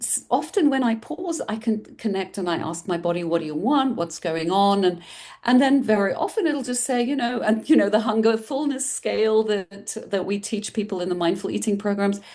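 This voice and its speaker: With a European accent, a woman uses a dark, mellow tone and lively intonation at a fairly high pitch and moderate pace. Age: 60s. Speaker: mindful eating coach. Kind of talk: interview conversation.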